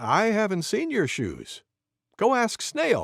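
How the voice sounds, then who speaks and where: A man performs a cartoonish character voice at a high pitch and a fairly slow pace. The recording is very clean, with a silent background. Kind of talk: bedtime story reading. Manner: gentle, clear, warm.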